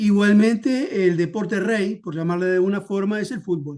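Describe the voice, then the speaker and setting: The voice has a dark, mellow tone and ordinary pitch variation, moving at a fairly slow pace over a quiet background. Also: man. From Uruguay, Montevideo. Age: 60s. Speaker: historian. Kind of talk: interview.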